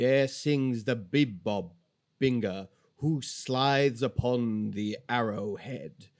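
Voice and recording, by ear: Reading aloud in a natural voice, ordinary pitch variation, quiet background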